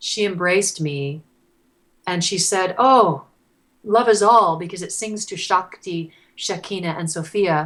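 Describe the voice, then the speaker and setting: In a normal speaking voice, a woman talks at medium pitch with ordinary pitch variation and big swings in loudness. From Canada. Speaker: singer-songwriter. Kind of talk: interview answer.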